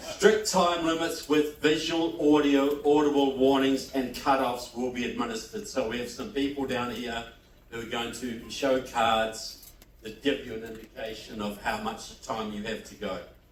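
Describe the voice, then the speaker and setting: With a New Zealand accent, a man at a medium pitch shows big swings in loudness amid noticeable background noise and audible room echo. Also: lively intonation, moderate pace. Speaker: debate moderator. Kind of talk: debate moderation.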